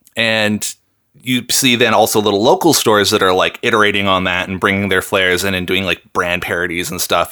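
Speaking at a fairly quick pace, a man has a bright, sharp tone. The recording is very clean with a silent background. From US Pacific Northwest, Seattle. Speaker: rapper and musician. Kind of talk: casual interview chat.

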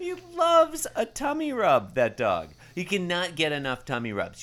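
At a moderate pace, a raised, projected voice with a bright, sharp tone comes through on a very clean recording with a silent background. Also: man. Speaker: comedy podcast co-host. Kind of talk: casual chat. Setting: home bedroom recording. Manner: put-on performative tone when recording.

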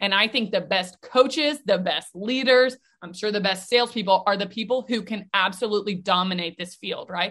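With an ordinary speaking voice, a woman talks at a moderate pace in a medium pitch, her pitch varying in an ordinary way and her speech having hardly any pauses. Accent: American. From US South, Nashville, Tennessee. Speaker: mental performance coach. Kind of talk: interview.

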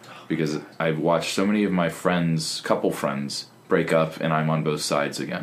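With hardly any pauses, a man talks at a moderate pace in a very deep, low pitch. His intonation is fairly even, and there's noticeable background noise. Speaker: comedian and performer. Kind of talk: casual interview chat.

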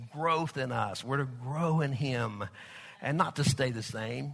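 Against a quiet background, a man with a Southern Plains US accent speaks at a fairly slow pace. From Oklahoma/Texas. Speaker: pastor. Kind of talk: sermon. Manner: filler-heavy, conversational.

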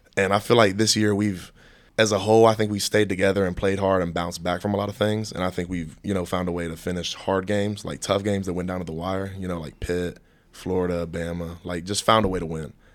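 Talking at a very fast pace in an East Tennessee accent, a man with a very deep, low pitch keeps a monotone, flat intonation. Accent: Southern US (East Tennessee). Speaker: college football player. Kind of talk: casual chat.

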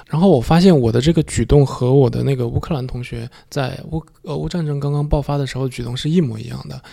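Speaking fast, a man with medium pitch uses a dark, mellow tone marked by vocal fry. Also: ordinary pitch variation.

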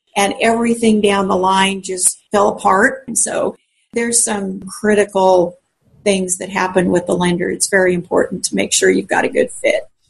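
A woman speaks at medium pitch with an American accent. Her somewhat breathy voice keeps a fairly even intonation. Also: moderate pace. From Colorado. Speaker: realtor. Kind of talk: interview answers.

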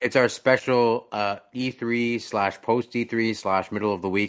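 In a very clean recording with a silent background, a man with a plain, everyday voice talks with fairly even intonation. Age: 20s. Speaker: gaming podcast host. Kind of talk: casual chat. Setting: live stream.

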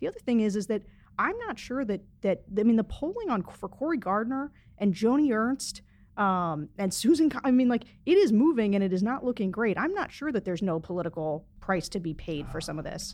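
The speech moves at a fairly quick pace with very wide pitch swings over a quiet background. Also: woman, fairly high pitch for a woman. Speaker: publisher, panelist. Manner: frenetic, agitated.

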